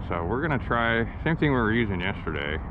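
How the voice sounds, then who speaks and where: There is noticeable background noise, and the sound is dry with no echo. A man with a fairly low voice speaks at a moderate pace. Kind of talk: casual vlog chat. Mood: relaxed, cheerful. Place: boat. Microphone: phone near.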